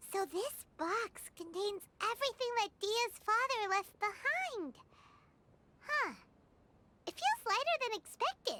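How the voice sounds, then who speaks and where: An extremely high, put-on character voice moves at a fairly slow pace. Long pauses come often. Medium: video game. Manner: excitable, blunt.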